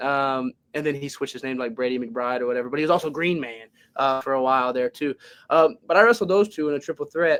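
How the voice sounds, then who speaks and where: Words come from the man at a very fast pace. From Louisiana, West Monroe. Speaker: professional wrestler. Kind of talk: podcast interview. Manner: halting, many fillers and restarts.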